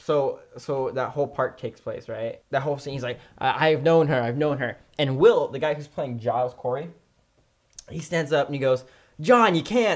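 A man with an unremarkable speaking voice speaks at a fairly high pitch and moderate pace, with ordinary pitch variation. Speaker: podcast host. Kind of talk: casual banter. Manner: joking.

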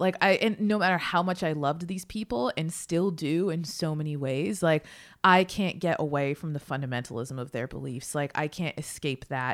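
A woman with an American accent uses a plain, everyday voice with a fairly low pitch and lively intonation, speaking at a moderate pace on a very clean recording with a silent background. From Massachusetts. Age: 30s. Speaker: author. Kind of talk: interview.

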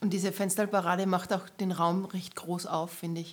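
Her fairly low-pitched voice stays monotone and flat as the woman talks at a moderate pace. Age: 30s. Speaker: photographer and camerawoman. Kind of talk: casual chat.

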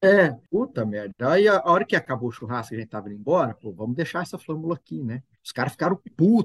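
A somewhat breathy man's voice, fairly high in pitch, at a very fast pace, with very wide pitch swings and big swings in loudness, dry and close with no echo. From São Paulo state interior (Altinópolis, near Ribeirão Preto). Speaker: agronomist, former student house resident. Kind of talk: casual chat, storytelling.

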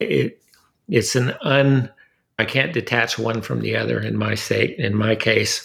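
Captured on a very clean recording with a silent background, a man talks with vocal fry in an American accent. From Southern California. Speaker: artist printmaker. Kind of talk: interview conversation. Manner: halting, repeats words.

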